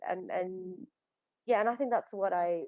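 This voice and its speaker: With a Nepali accent, a woman speaks at a medium pitch. Her intonation is lively. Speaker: actor. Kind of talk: casual interview. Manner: halting, many restarts and fillers.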